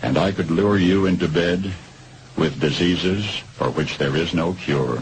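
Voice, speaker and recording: With an American accent and a very deep, low pitch, a man speaks at a fairly slow pace with ordinary pitch variation over noticeable background noise. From United States. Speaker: radio broadcaster. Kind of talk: radio commentary.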